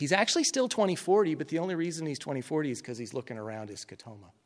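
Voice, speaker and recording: Very fast and with lively intonation, the speaker talks in a General American accent. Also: man. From Colorado. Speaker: eye surgeon and medical educator. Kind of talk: lecture. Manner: hesitant, many fillers.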